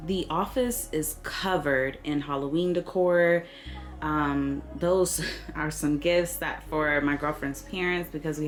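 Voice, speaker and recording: Over noticeable background noise, a woman speaks at a fairly slow pace in an animated tone with ordinary pitch variation. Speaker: lifestyle vlogger. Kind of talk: casual vlog talk to camera. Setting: at home, home office.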